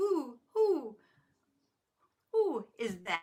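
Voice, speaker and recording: This is a put-on character voice pitched high. Its pitch swings very widely. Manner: hooting.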